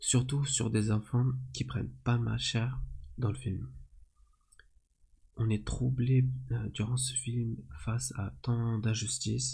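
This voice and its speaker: Soft-spoken and somewhat breathy, a man with a dark, mellow tone and calm tone speaks at a medium pitch and very slow pace, with lively intonation and long, frequent pauses. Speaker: ASMR creator reviewing a film. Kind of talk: ASMR film review, soft spoken to camera. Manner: soft-spoken, calm.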